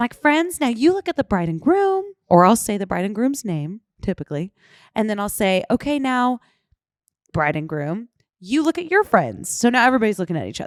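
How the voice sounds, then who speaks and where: A woman talks at a fairly quick pace with very wide pitch swings, and the recording is very clean with a silent background and a dry, close sound with no echo. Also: fairly high pitch for a woman. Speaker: wedding photographer. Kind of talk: casual chat. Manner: fast.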